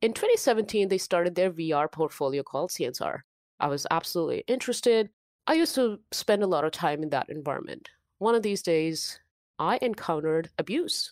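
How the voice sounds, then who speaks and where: In a very clean recording with a silent background, a woman with an Indian accent speaks fairly quickly at medium pitch with lively intonation. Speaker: cybersecurity professional and nonprofit founder. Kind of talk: casual interview chat.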